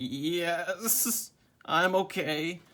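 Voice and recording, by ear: In a put-on character voice, a man speaks high-pitched and raspy.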